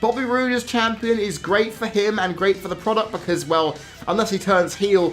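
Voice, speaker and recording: Someone speaks in a British accent at a moderate pace. Music plays in the background. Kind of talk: wrestling commentary rant to camera.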